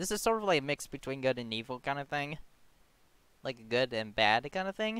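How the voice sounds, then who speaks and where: A put-on character voice mumbles at a fairly quick pace. Its pitch swings very widely. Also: man, medium pitch for a man. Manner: mumbling, indistinct.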